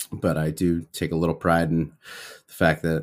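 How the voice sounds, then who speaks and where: On a very clean recording with a silent background, the voice moves at a moderate pace with a relaxed tone. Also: man. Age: 30s. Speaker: podcast host in recovery from alcohol. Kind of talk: solo personal check-in. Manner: relaxed, with many fillers.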